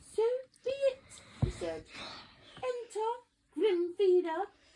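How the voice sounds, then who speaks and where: Putting on a squeaky character voice, a woman speaks at an extremely high pitch. She delivers it at a very slow pace. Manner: putting on a formal, playful voice.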